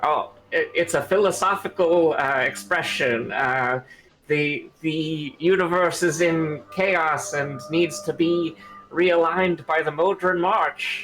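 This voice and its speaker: Faint music plays in the background as a man uses a put-on character voice. It is high-pitched and moves at a fairly slow pace. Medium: actual play. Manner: formal, literal, precise.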